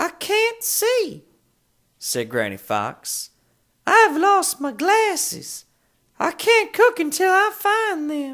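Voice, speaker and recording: An extremely high-pitched, put-on character voice moves at a very slow pace with long, frequent pauses in a very clean recording with a silent background. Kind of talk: children's audiobook reading.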